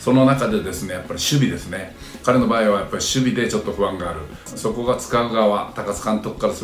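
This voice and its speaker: Speaking at a fairly quick pace, a man is heard with audible room echo and light background noise. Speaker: commentator. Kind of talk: commentary. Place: home room. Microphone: phone near.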